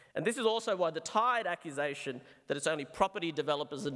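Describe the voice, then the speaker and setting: Lively in intonation and very fast, the speaker has an Australian accent over a quiet background. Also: man. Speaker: psychiatrist. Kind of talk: debate speech; formal debate speech. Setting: stage with audience. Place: hall. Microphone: podium.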